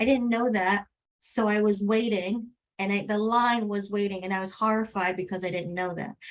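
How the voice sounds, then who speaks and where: A woman speaks with a Spanish accent. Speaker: advocate, webinar panelist. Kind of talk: panel webinar.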